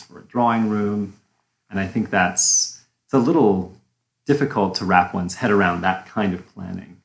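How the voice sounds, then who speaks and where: A man speaks in a fairly low pitch with ordinary pitch variation. It is an unremarkable speaking voice. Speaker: podcast co-host. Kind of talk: interview.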